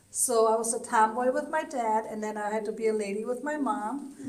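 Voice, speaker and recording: Against audible room echo, a woman talks at a fairly high pitch with fairly even intonation. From Germany, Nuremberg. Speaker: senior center board director. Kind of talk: interview. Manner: halting.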